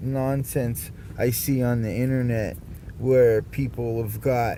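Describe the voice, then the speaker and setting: A man's medium-pitched voice in an American accent, very slow in pace, with fairly even intonation and audible room echo. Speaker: vlogger. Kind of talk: personal monologue vlog. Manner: loud; halting, many fillers and repeats.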